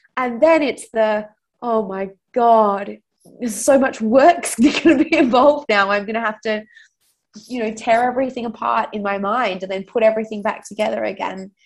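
A woman with an Australian accent talks at a moderate pace. Her pitch is fairly high, with ordinary variation. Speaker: fintech founder. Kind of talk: interview.

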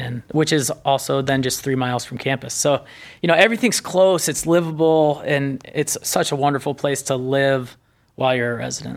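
In a very clean recording with a silent background, a man with an American accent talks in an ordinary speaking voice, fairly high in pitch, with ordinary pitch variation. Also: moderate pace. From northern Indiana. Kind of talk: casual interview.

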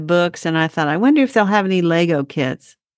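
A woman with an ordinary speaking voice talks at a fairly quick pace with lively intonation, heard in a dry, close sound with no echo against a quiet background. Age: 60s. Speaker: gardening podcast host. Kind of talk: casual chat. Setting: video call.

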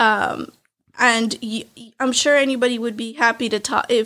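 A woman speaks in a normal speaking voice, her fairly high pitch carried on fairly even intonation. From California Central Valley, US (born in Mexico, moved at one). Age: 20s. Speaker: real estate wholesaler. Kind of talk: casual interview.

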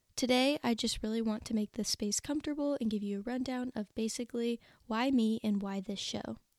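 Hardly pausing, a woman with an unremarkable speaking voice and fairly high pitch talks at a fairly quick pace. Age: 20s. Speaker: book podcast host. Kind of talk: solo podcast introduction. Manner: upbeat.

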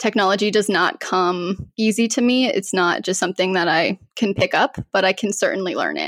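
A woman has a plain, everyday voice at medium pitch, with ordinary pitch variation. She talks at a moderate pace in a dry, close sound with no echo. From Colorado, US. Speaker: cybersecurity professional. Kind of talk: interview.

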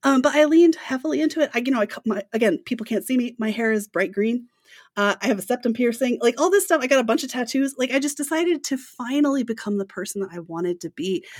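A woman speaks at a very fast pace and high pitch with lively intonation, the sound dry and close with no echo. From grew up on military bases in Japan. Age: 30s. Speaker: strongman athlete and sales business owner. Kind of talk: casual interview conversation.

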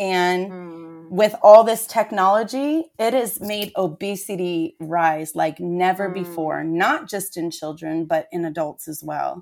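A woman's fairly low voice at a fairly slow pace, with hardly any pauses, ordinary pitch variation, big swings in loudness and a normal speaking voice, on a very clean recording with a silent background. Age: 40s. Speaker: fitness trainer. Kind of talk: casual chat.

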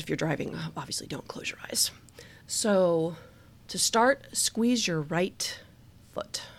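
Recorded very cleanly over a silent background, a woman speaks with ordinary pitch variation. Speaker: podcast host. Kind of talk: guided relaxation exercise, leading body-tension release. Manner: slow, calm, soothing, with pauses between cues; casual and giggly, laughing at herself.

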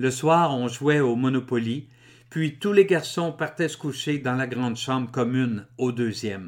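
In a very clean recording with a silent background, a man with a Quebec accent speaks at a fairly slow pace, medium pitch and ordinary pitch variation. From Quebec, Drummondville. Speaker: author and public speaker. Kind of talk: reading aloud.

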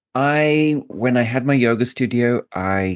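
A man with a British accent speaks at a medium pitch with ordinary pitch variation and an enthusiastic tone. The sound is dry and close with no echo, over a quiet background. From England. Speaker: podcast host and yoga business coach. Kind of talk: casual interview chat.

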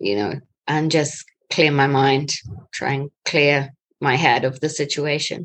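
A woman speaks fairly slowly in a very deep, low voice. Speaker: interviewee answering exam-style questions.

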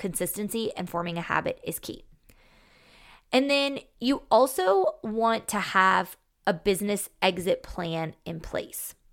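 At a fairly slow pace, a woman speaks in a normal speaking voice with medium pitch and ordinary pitch variation. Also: very clean recording, silent background. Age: 30s. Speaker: podcast host, financial advisor to business owners. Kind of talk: solo podcast monologue, advice. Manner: casual, conversational.

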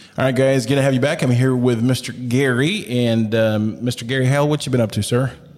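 With an American accent and an ordinary speaking voice, a man of medium pitch talks at a fairly quick pace with hardly any pauses, very even loudness and fairly even intonation. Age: 40s. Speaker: missionary. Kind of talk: casual chat.

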